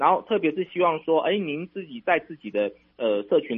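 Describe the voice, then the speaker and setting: A man's voice at a fairly quick pace, with lively intonation. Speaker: national tourism official. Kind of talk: radio interview. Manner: hesitant, many fillers.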